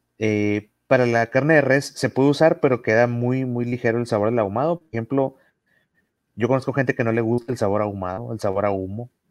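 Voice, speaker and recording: A man speaks at a fairly quick pace, his voice recorded dry and close with no echo. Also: medium pitch for a man, ordinary pitch variation, quiet background. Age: 30s. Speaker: barbecue enthusiast and competition judge. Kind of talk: casual chat. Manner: halting, many repetitions and fillers.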